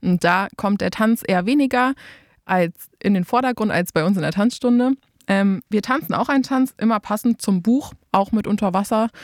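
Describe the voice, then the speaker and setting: An unremarkable speaking voice moves at a moderate pace with ordinary pitch variation, recorded dry and close with no echo, very clean, with a silent background. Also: woman, fairly high pitch for a woman. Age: 20s. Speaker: dance teacher. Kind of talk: casual chat.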